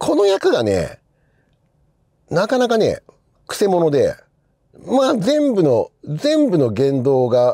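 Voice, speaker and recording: Against a quiet background, a man speaks at a very slow pace in a dry sound with no echo. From Japan. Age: 50s. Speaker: film journalist; film critic host. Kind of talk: casual monologue. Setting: in a car. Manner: conversational, many fillers. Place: car.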